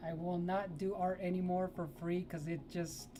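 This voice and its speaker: A woman speaks very slowly in a fairly low pitch. Music plays in the background, and room echo is audible. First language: Spanish. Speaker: digital artist streamer. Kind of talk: casual live stream chat while painting. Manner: relaxed, chatty.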